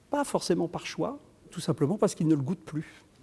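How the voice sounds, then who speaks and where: The voice is a man's, with a dark, mellow tone. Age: 60s. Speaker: choreographer. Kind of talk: conversational interview. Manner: halting, many repetitions and fillers.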